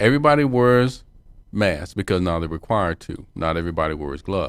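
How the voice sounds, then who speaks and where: With an American accent and a plain, everyday voice, a man talks at a fairly quick pace using lively intonation. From US South. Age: 60s. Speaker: political talk radio co-host. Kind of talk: political discussion.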